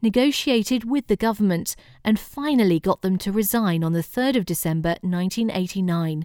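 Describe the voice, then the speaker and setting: A woman's medium-pitched voice, an unremarkable speaking voice with ordinary variation in pitch, captured on a very clean recording with a silent background. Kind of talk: history documentary narration, scripted. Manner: formal, measured, even-paced; serious, authoritative tone.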